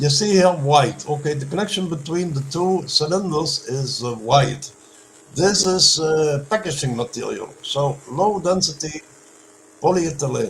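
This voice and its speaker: A man with a non-native accent speaks at a fairly slow pace, his pitch fairly high with ordinary variation. Noticeable background noise runs underneath. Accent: non-native English, self-described weak. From Netherlands. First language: Dutch. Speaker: inventor presenting experiments. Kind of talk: Q&A answers. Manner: halting.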